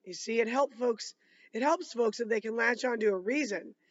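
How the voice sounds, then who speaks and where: Using a put-on character voice, a woman speaks at a moderate pace, fairly high-pitched and raspy. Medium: read story. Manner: gentle, wry.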